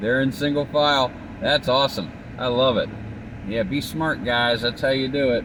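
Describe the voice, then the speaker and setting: With a plain, everyday voice, a man of medium pitch speaks at a moderate pace, his intonation fairly even and his loudness very even. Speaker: vlogger filming while driving. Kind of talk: casual driving vlog monologue. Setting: in a car. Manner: casual, conversational.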